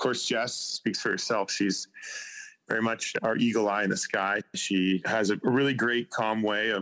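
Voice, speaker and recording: A man with a Canadian accent has a normal speaking voice, with fairly even intonation at a moderate pace. The sound is dry and close with no echo. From Vancouver Island, British Columbia, Canada. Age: young. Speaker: classic car hunter on TV. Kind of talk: interview.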